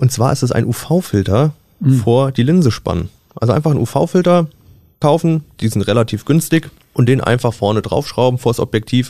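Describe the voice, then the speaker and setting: The voice is somewhat breathy with a dark, mellow tone. Its intonation is lively and its pace moderate. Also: man, medium pitch for a man, very even loudness. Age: 20s. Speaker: press photographer, podcast co-host. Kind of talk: casual chat.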